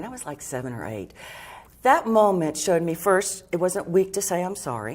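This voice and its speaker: Vocal fry runs through this woman's fairly low voice. She talks at a fairly quick pace with very wide pitch swings. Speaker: author and personal growth teacher. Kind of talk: TV interview answer.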